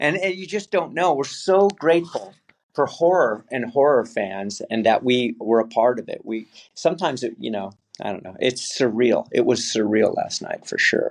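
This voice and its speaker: With an American accent, the voice moves at a moderate pace, with big swings in loudness and very wide pitch swings. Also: man, fairly high pitch for a man. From California. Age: 60s. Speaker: actor. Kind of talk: interview.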